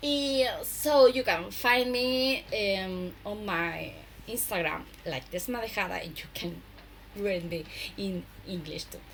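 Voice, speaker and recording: Speaking at a very slow pace, a somewhat breathy woman uses lively intonation. Audible room echo is present. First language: Spanish. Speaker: knitwear designer and podcaster. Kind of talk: casual podcast monologue. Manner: halting, many hesitations.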